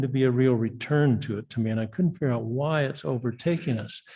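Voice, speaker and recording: Against a quiet background, a man with an American accent and a medium, somewhat breathy voice speaks at a fairly quick pace with ordinary pitch variation. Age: 70s. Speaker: public commenter at city meeting. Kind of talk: public comment. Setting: city commission meeting.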